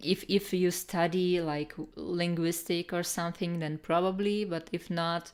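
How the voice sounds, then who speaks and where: A woman with a Russian accent speaks at a fairly slow pace, with hardly any pauses. Her pitch is fairly low and her intonation is monotone and flat. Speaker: artist streamer giving art critiques. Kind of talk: live stream chat, art critique. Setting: live stream. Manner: halting, many fillers.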